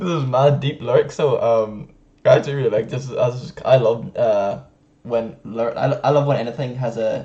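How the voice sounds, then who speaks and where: The speaker is a man with an Irish accent. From Ireland. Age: 20s. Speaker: rapper. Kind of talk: casual talk to camera. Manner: upbeat.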